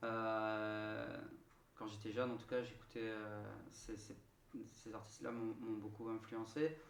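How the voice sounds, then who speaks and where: A man with a Marseille accent speaks at a medium pitch, very slowly, with long, frequent pauses and monotone, flat intonation. Room echo is audible, and background noise is noticeable. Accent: southern French (Marseille). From southern France, Marseille. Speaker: singer-songwriter. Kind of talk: radio interview. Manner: halting, many hesitations.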